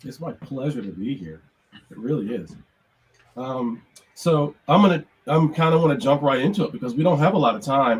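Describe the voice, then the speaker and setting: A man's fairly high voice with vocal fry, lively intonation, big swings in loudness, a fairly quick pace and long, frequent pauses. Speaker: music production professor. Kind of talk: online lecture.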